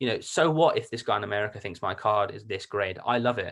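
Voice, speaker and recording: Speaking with a British accent, a man uses a medium pitch and ordinary pitch variation on a very clean recording with a silent background. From UK. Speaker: card collector and reseller. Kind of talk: casual interview chat.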